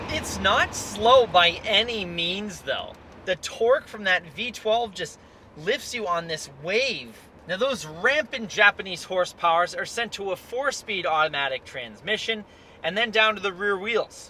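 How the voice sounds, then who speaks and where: A man uses a raised, projected voice at a high pitch. He talks at a fairly slow pace with lively intonation. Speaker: car dealer video reviewer. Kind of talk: car review while driving. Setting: in a car.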